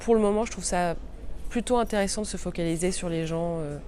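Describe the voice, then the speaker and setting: A woman speaking at a moderate pace. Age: 40s. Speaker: journalist and podcaster. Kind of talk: interview answers. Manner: hesitant, many fillers.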